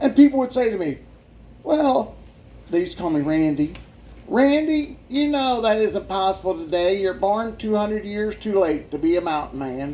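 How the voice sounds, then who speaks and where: A man speaks at a moderate pace with a high pitch and very wide pitch swings. His tone is dark and mellow, with audible room echo. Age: 60s. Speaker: evangelist sharing life story. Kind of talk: testimony. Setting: church with audience. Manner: animated.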